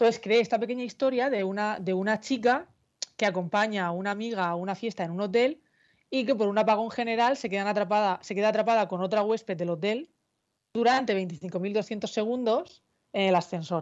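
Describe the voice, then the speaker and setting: A woman speaks in a normal speaking voice, pitched fairly high. Her pitch varies in an ordinary way. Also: fairly quick pace. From Murcia, southern Spain. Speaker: novelist. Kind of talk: interview. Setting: video call.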